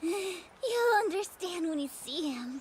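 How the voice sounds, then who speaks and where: A woman uses a put-on character voice, extremely high in pitch. She speaks at a fairly slow pace over clear background noise. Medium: fan dub. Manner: lively, eager.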